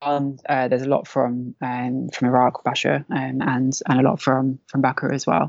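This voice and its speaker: The speaker talks at a fairly slow pace with a London accent and monotone, flat intonation. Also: woman, very deep, low pitch for a woman. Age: 30s. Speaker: civil defence volunteer. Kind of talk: interview.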